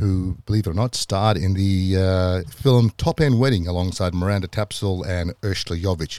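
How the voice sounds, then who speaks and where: Speaking at a moderate pace with hardly any pauses, a man with a very deep, low voice and a dark, mellow tone uses ordinary pitch variation in a dry, close recording with no echo. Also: very clean recording, silent background. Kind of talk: personal storytelling monologue. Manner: casual, with frequent fillers.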